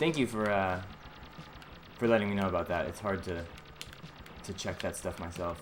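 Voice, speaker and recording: Over noticeable background noise, a speaker with an American accent talks at a moderate pace with ordinary pitch variation and long, frequent pauses. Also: man, very deep, low pitch for a man. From US, Boston. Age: 20s. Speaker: gaming streamer. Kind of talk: live gameplay commentary. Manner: halting, repeats words.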